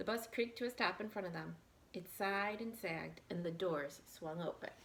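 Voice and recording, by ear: With a fairly bright tone, a woman speaks at a fairly low pitch and moderate pace, her pitch varying in an ordinary way.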